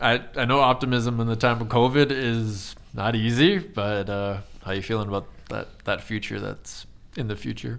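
In an Eastern Canadian accent, a man speaks at a medium pitch with ordinary pitch variation. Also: moderate pace. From Eastern Canada. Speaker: podcast host. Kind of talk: casual interview conversation.

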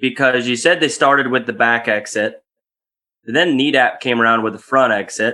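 A man's medium-pitched voice has a bright, sharp tone. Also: quiet background. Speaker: podcast host. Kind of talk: interview questions.

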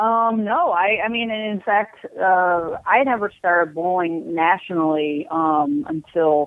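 Speaking at a very slow pace with lively intonation, a woman uses a medium pitch and an American accent. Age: 40s. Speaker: professional bowler. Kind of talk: interview.

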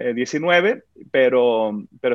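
Lively intonation marks this man's speech. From Mexico (Sinaloa, then Guadalajara). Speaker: worship pastor. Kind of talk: interview. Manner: halting, many repetitions.

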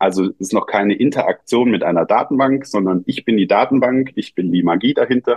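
A man speaks with ordinary pitch variation. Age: 40s. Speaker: app founder and father. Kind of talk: interview. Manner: hesitant, many fillers.

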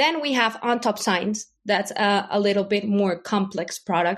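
In a Spanish accent, a woman speaks at a fairly slow pace with medium pitch and ordinary variation over a quiet background. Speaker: company lawyer. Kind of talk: casual interview.

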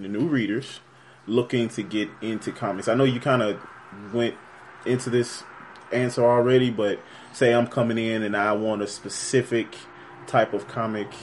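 A man with a medium pitch speaks with long, frequent pauses. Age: 20s. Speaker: podcast interviewer. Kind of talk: casual interview.

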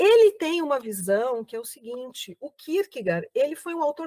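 Very wide pitch swings in a woman's voice, with a dry, close sound and no echo. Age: 50s. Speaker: actress, writer and professor. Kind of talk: interview. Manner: hesitant, many filler words.

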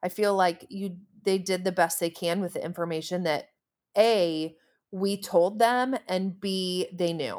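In a very clean recording with a silent background, a woman with an unremarkable speaking voice talks at a fairly slow pace, medium in pitch, with fairly even intonation. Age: 30s. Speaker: therapist and infertility counselor. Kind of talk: casual chat.

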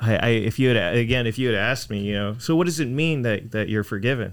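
The pace is very fast, with an American accent. Pitch variation is ordinary. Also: man. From Texas, Houston. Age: 20s. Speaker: church member sharing testimony. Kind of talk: testimony. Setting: studio. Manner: halting, repeats words.

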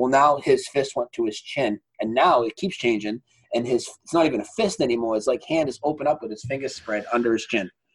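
A man's plain, everyday voice at a medium pitch and fairly quick pace, with ordinary pitch variation, hardly any pauses, and a dry, close sound with no echo. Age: 40s. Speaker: broadcaster. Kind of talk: casual chat.

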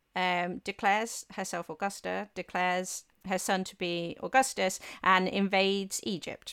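A woman speaks with an English accent at a medium pitch and a fairly slow pace. The recording is very clean and silent behind her, with a dry, close sound and no echo. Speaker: historian and author. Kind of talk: casual interview chat.

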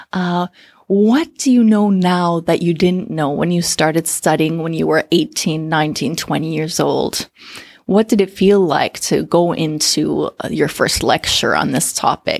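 In a very clean recording with a silent background, a woman with a Canadian accent speaks fairly slowly in an ordinary speaking voice, fairly low in pitch with ordinary pitch variation. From Canada. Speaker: communication coach. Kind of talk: interview.

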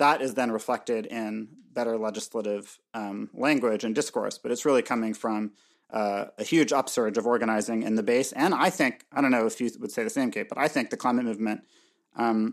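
This man has a normal speaking voice at a medium pitch, talking at a fairly quick pace with ordinary pitch variation over a very clean recording and a silent background. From Canada. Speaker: podcast co-host. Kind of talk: casual chat.

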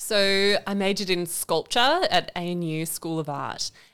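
On a very clean recording with a silent background, a woman speaks with an Australian accent at a medium pitch. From Canberra, Australia. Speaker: podcast co-host, environment centre deputy director. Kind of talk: casual interview chat. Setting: studio.

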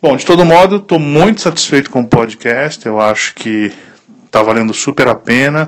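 Lively intonation marks this man's fairly high voice. It is a normal speaking voice. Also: moderate pace. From Italy. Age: 30s. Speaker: listener, small business owner. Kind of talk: recorded voice message. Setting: WhatsApp voice message.

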